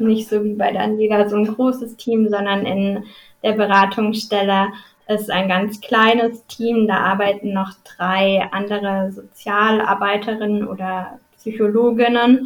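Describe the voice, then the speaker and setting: Monotone, flat intonation at a fairly slow pace. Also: woman. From southern Baden, near Swiss border. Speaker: social work student. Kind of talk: interview.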